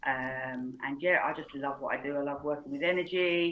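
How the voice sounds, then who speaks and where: In a very deep, low pitch, a woman talks at a moderate pace with fairly even intonation. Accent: British. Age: 40s. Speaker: reiki teacher and coach. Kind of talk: casual interview.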